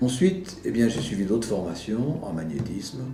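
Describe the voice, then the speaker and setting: A man's medium-pitched voice with very wide pitch swings, music in the background and audible room echo. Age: 70s. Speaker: healer, former chocolatier. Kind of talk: personal testimony. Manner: hesitant, with fillers.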